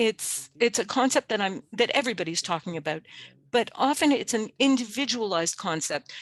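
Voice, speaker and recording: A woman with an ordinary speaking voice talks at a fairly high pitch and fairly quick pace, with lively intonation. The sound is dry and close with no echo, over a quiet background. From Canada, Cree First Nation. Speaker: webinar presenter. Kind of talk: webinar presentation.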